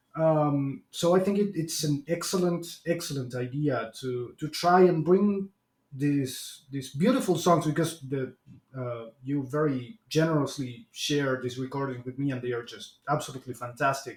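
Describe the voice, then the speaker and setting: This man talks at a moderate pace in a fairly high, somewhat breathy voice with ordinary pitch variation. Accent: Spanish. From Argentina. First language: Spanish. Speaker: podcast host. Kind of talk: interview. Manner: halting, many repetitions and fillers.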